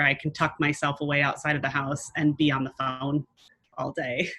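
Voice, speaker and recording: Loud and bright with a sharp tone, a woman speaks in a very deep, low register with an American accent and a monotone, flat intonation. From United States. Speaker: entrepreneur. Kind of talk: interview.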